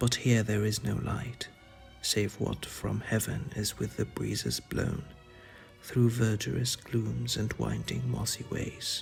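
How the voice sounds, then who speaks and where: Over music in the background, a soft-spoken man talks at a very slow pace in a gentle tone. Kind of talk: poetry reading. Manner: soft-spoken, gentle.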